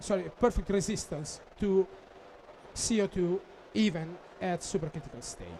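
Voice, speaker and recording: Speaking with a non-native accent, a man with a high pitch for a man talks at a moderate pace, with long, frequent pauses, ordinary pitch variation and big swings in loudness. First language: Italian. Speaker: applications engineer. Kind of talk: technical conference presentation. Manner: halting, many fillers.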